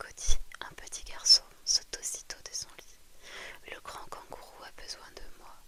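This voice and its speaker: Background noise is noticeable. Through it, a woman whispers fairly slowly. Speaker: ASMR creator. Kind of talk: whispered bedtime story reading. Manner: whispered.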